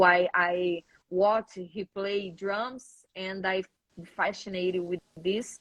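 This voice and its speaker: A woman's medium-pitched voice with a Brazilian accent, monotone and flat, at a very slow pace. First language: Portuguese. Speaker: metal drummer. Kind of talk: casual interview. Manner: halting.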